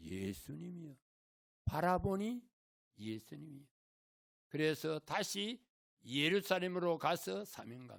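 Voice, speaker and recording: A man's fairly high voice at a very slow pace, with very wide pitch swings and long, frequent pauses. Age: 80s+. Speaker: guest preacher, former school chaplain. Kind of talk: sermon. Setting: church.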